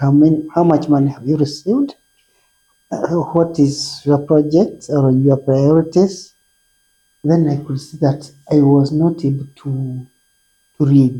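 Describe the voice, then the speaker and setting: A woman with a very deep, low pitch and a dark, mellow tone talks at a fairly slow pace, somewhat breathy. Her intonation is fairly even, her loudness swings a lot, and she leaves long, frequent pauses. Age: 60s. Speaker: patient, retired head teacher. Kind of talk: testimony. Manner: halting.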